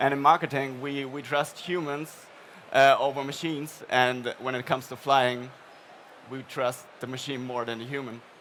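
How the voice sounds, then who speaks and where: A man with a German accent speaks in a monotone, flat way, with big swings in loudness. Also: medium pitch for a man, moderate pace. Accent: noticeable German. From Germany. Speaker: paid search strategist. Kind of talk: live stage interview. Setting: trade fair stage with audience.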